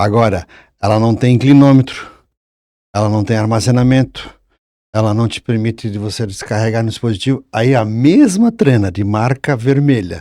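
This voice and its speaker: A dark, mellow tone comes through at a moderate pace with ordinary pitch variation. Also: man, medium pitch for a man. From Santa Catarina, Brazil (Brusque area). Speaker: engineering professor and former surveyor. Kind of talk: casual podcast conversation. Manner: halting, with frequent restarts.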